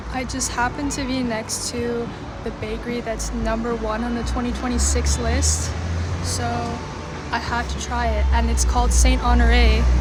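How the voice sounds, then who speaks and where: A woman's very deep, low voice with an American accent, ordinary pitch variation and a moderate pace, amid noticeable background noise and audible room echo. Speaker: vlogger. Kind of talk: casual vlog talk. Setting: outdoors in a park.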